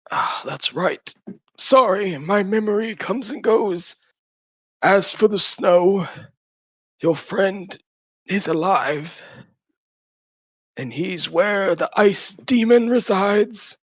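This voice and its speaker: A man speaks very slowly in a put-on character voice pitched high, leaving long, frequent pauses. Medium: actual play. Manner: fragile, fearful, haunted.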